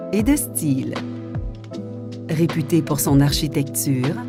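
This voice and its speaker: This woman talks at a very slow pace while music plays in the background. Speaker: voice actor. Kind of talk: TV commercial read.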